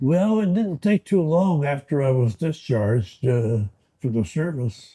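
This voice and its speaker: A man's dark, mellow voice with an American accent, fairly high pitch and very wide pitch swings. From US Midwest, Ohio. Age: 80s+. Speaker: war veteran. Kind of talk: oral history interview. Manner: halting.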